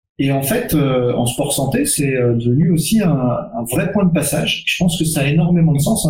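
The voice is somewhat breathy, with ordinary pitch variation and a fairly slow pace. Audible room echo fills the recording. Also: man. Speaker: strength and conditioning coach. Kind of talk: webinar panel discussion.

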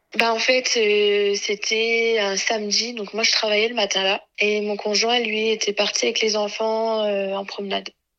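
With hardly any pauses, a woman speaks at a fairly slow pace in a fairly high, bright, sharp voice that stays monotone and flat. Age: 20s. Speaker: radiology technician and mother of two. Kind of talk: personal testimony.

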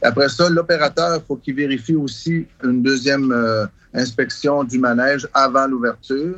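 Here is an ordinary speaking voice at a moderate pace, with ordinary pitch variation. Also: man. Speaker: travelling carnival owner. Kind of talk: interview recollections.

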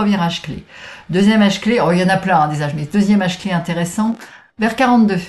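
A woman with a somewhat breathy voice talks fairly quickly, her pitch varying in an ordinary way. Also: medium pitch for a woman. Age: 60s. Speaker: transformation coach. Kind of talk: casual interview.

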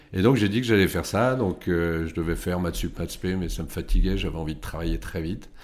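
Ordinary pitch variation runs through a man's very deep, low voice as he talks at a fairly quick pace. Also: hardly any pauses. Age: 50s. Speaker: tech company CEO. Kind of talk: interview.

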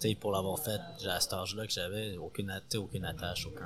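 With music in the background, a man speaks at a very deep, low pitch, a moderate pace and ordinary pitch variation. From Montreal, Quebec. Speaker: sous-chef. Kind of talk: interview. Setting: restaurant kitchen before service.

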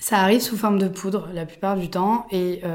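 A woman speaks with fairly even intonation. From Provence, southern France. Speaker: podcast host, yoga teacher. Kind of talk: personal storytelling monologue. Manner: hesitant, many fillers.

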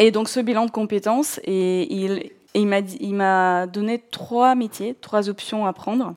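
A woman is speaking here. Her voice is at a medium pitch with ordinary variation. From southern Russia, North Caucasus. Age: 40s. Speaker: podcast guest telling career-change story. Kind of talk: personal storytelling, monologue. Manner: hesitant, many fillers.

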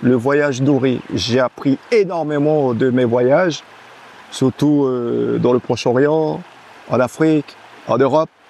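Over noticeable background noise, a man speaks very slowly at a medium pitch with ordinary pitch variation, the sound dry and close with no echo. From French Guiana, Camopi. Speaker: athlete and entrepreneur. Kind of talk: casual chat.

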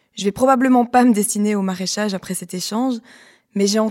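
A woman's voice, dark and mellow in tone and medium in pitch, in a very clean recording with a silent background. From Belgium, Liège. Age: 30s. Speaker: podcast host, former lawyer. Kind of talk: scripted narration.

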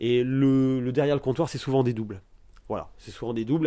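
This man's medium-pitched voice, dark and mellow in tone, moves at a very fast pace. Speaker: record shop owner. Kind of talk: interview. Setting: record shop. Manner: hesitant, many fillers.

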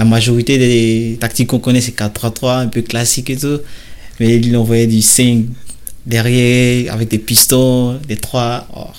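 The delivery is very slow, in a monotone, flat intonation. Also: man, medium pitch for a man. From Côte d'Ivoire, Bouaké. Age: 20s. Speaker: professional footballer. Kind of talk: interview. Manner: hesitant, with fillers.

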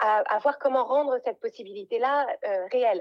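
In a high pitch, a woman talks with lively intonation. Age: 40s. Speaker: life coach and podcaster. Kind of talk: interview. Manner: halting, many repeated words.

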